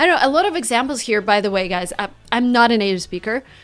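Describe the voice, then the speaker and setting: Lively intonation and a fairly quick pace, with a Russian accent. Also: woman. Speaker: English teacher. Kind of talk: tutorial.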